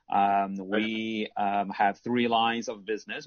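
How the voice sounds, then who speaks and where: Fairly low in pitch, a man with an American accent speaks at a fairly slow pace in a flat monotone. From US, California. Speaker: sports media executive. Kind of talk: panel discussion. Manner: hesitant, many fillers.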